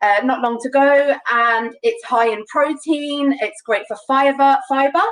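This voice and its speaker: The speaker uses ordinary pitch variation in a London accent. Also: woman. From London, England. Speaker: home cook demonstrating a recipe. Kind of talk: live cooking demonstration. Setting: live online broadcast.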